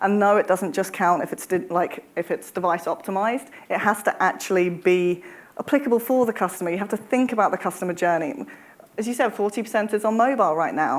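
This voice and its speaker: Lively intonation marks this very fast delivery in a British accent. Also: woman, medium pitch for a woman. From UK. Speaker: travel industry executive. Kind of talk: panel discussion.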